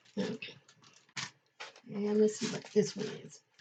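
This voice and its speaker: A woman's dark, mellow tone comes through with a somewhat breathy quality. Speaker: paper crafter. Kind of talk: casual craft tutorial talk to camera.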